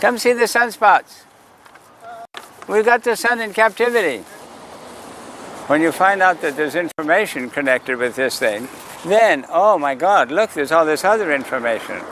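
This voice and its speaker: A man with a slight Irish accent talks at a high pitch with very wide pitch swings. His pace is moderate with long, frequent pauses, and there is noticeable background noise. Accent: sounds slightly Irish. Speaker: sidewalk astronomer. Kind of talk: outdoor public astronomy talk. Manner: calling out loudly to passersby.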